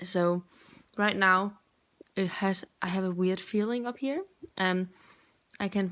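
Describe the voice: With a fairly bright tone and fairly low pitch, a woman talks at a fairly slow pace.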